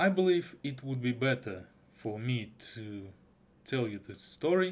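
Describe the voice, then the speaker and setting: A man with a Russian accent speaks at a medium pitch with lively intonation. His pace is fairly slow. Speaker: anime reviewer. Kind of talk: video review. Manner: halting.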